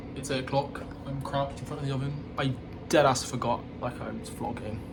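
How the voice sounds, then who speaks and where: Over noticeable background noise and audible room echo, a man with a fairly high pitch talks very fast in a monotone, flat delivery. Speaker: vlogger. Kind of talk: casual vlog monologue. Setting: outdoors in a park.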